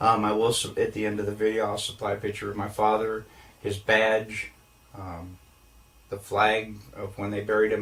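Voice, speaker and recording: A somewhat breathy male voice at a fairly low pitch. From New Mexico. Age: 70s. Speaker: interviewee. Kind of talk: testimony. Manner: halting.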